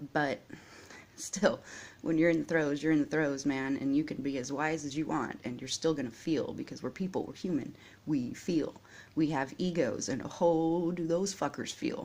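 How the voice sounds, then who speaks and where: Soft-spoken and very deep and low for a woman, her voice moves at a moderate pace with ordinary pitch variation. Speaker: vlogger. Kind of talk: personal vlog monologue. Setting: at home, early morning. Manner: quiet, soft-spoken.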